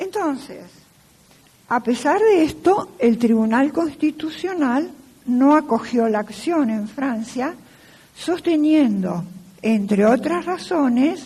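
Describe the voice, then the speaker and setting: A woman with a high voice speaks at a very slow pace, leaving long, frequent pauses. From Argentina. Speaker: law professor. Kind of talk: lecture.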